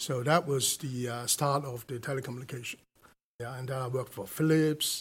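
A Hong Kong accent, somewhat breathy, at a fairly quick pace with fairly even intonation. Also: man, medium pitch for a man. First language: Cantonese. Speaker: telecom company executive. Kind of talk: interview. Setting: studio.

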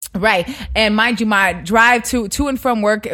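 This woman's voice sits at a medium pitch with ordinary pitch variation and a bright, sharp tone. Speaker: radio personality. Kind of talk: casual interview. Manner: fast talker.

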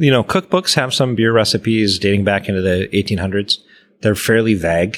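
A man talks fairly quickly in a fairly low voice with ordinary pitch variation and very even loudness. It is a plain, everyday voice on a very clean recording with a silent background. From Wisconsin, raised in Eau Claire. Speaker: historic brewer at a museum. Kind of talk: casual interview. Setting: on location at a museum brewhouse.

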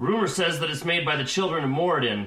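Putting on a gruff character voice, a man talks at a very fast pace, fairly high in pitch, with lively intonation. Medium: actual play. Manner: gruff, terse.

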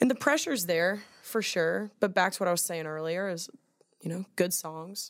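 A woman speaks at a fairly low pitch and a fairly quick pace. Her pitch varies in an ordinary way. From Atlanta, US South. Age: 20s. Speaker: country singer. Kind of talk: casual chat. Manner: animated.

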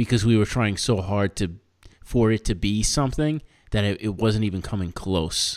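A man's ordinary speaking voice, fairly low in pitch, with an American accent and a moderate pace. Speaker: podcast host. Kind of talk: casual chat, comedic. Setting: video call, remote. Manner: casual, profane, laughs often.

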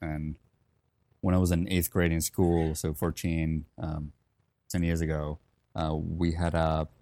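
This man's voice is very deep and low-pitched, dark and mellow in tone, with a Finnish accent and monotone, flat intonation. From Finland, Helsinki. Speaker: coffee company founder and former barista champion. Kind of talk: casual interview.

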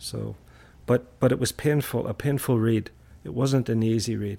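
This man's voice is somewhat breathy, with a dark, mellow tone. He speaks at a fairly low pitch with fairly even intonation. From Northern Ireland, Belfast. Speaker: university staff, trip organizer. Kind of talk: casual chat.

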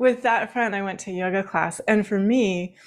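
The recording is very clean, with a silent background, as a woman with an American accent speaks in an unremarkable speaking voice at a medium pitch, a moderate pace and with fairly even intonation. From Washington State, rural. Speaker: spiritual teacher. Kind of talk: interview.

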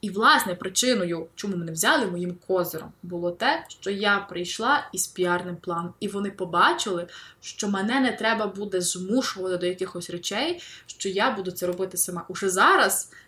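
A woman's medium-pitched voice at a moderate pace, with ordinary pitch variation, amid noticeable background noise. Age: 20s. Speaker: novelist. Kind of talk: interview.

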